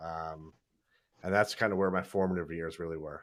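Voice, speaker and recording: On a very clean recording with a silent background, a man with a slight New York accent speaks at a moderate pace. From New York, Brooklyn and Long Island. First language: raised bilingual with Hindi and Punjabi. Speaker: dermatologist and YouTuber. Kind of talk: casual chat on livestream. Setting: livestream from office. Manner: animated.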